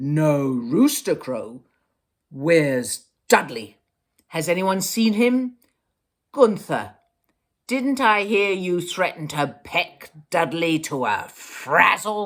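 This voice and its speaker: A put-on character voice at a middle pitch, delivered at a very slow pace. Long pauses come often. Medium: read story.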